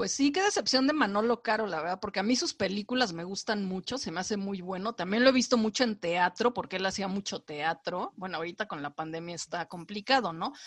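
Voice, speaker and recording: A woman with a medium pitch talks at a fairly quick pace with lively intonation and hardly any pauses, in a dry, close sound with no echo against a quiet background. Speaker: film and series critic. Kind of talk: casual chat.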